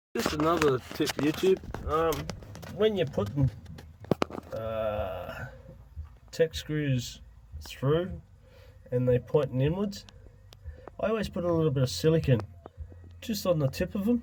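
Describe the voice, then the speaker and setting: The speaker has an Australian accent and a fairly slow pace, with long, frequent pauses. Noticeable background noise sits behind the voice. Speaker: DIY video maker. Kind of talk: tutorial. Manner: halting.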